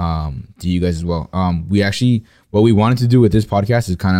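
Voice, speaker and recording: The speaker is a man. His tone is dark and mellow. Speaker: podcast host. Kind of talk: casual chat. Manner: filler-heavy, casual.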